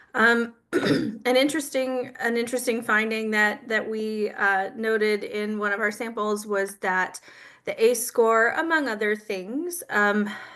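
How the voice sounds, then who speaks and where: Bright and sharp in tone, a woman's fairly high-pitched voice shows ordinary pitch variation. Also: fairly slow pace. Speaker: professor and clinical psychologist. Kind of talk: lecture.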